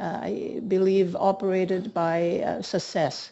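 A woman's slow, dark, mellow voice, fairly low in pitch, with vocal fry and little pitch movement

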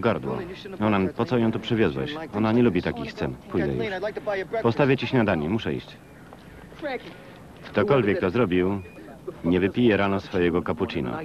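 Against noticeable background noise, a man with a fairly low pitch takes long, frequent pauses while his pitch swings very widely. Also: moderate pace. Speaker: Polish film voice-over reader (lektor). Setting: recorded from a VHS tape.

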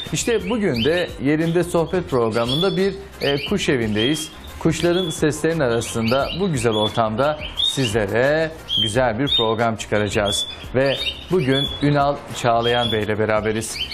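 A man speaks fairly slowly while loud background noise fills the clip. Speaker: TV interviewer. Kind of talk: casual interview; show introduction. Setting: bird house. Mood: warm, friendly. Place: home room. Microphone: lapel.

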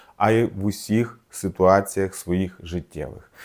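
A man with a Russian accent speaks in a dark, mellow tone at a fairly low pitch and fairly slow pace on a very clean recording with a silent background. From southern Ukraine, Mykolaiv oblast. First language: Russian (speaking Ukrainian). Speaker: doctor and video blogger. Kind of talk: personal video essay. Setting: children's room at home.

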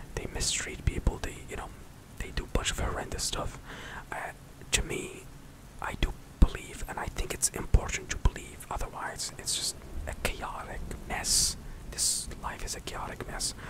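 A soft-spoken man whispering through long, frequent pauses against loud background noise. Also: moderate pace. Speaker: streamer, vlogger. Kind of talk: casual vlog chat. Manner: soft close-mic whisper. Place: home room. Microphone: studio mic.

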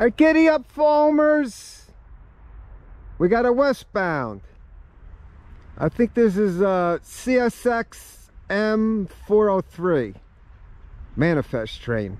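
A man at a very slow pace, with long, frequent pauses, very wide pitch swings, and a dry sound with no echo. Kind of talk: casual commentary. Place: open country. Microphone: phone near.

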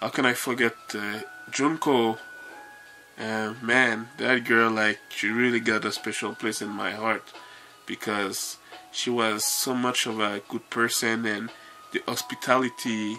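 Faint music in the background behind a man's monotone, flat delivery at a fairly slow pace. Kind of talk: casual vlog chat. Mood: warm, grateful reminiscing. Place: home room. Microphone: phone near.

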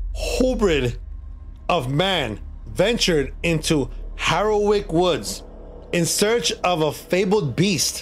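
A man speaks with faint music in the background. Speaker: streamer. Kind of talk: story reading and casual stream chat.

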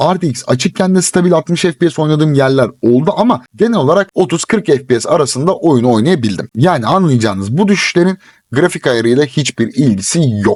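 This man's tone is animated, his fairly high pitch making very wide swings at a moderate pace. His loudness is very even, recorded with a dry, close sound and no echo. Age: 20s. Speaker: gaming YouTuber. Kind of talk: game review. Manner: casual, animated.

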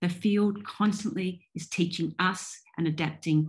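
A woman with an Australian accent speaks at a fairly low, somewhat breathy pitch and a fairly slow pace, with ordinary pitch variation, against a quiet background. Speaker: professor and digital ethnographer. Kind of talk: keynote lecture. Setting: video call. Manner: formal.

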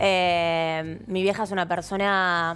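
This woman has a fairly low pitch. Her intonation stays fairly even. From Argentina. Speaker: TV presenter. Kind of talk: talk show interview. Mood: candid, reflective about family. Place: studio. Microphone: headset.

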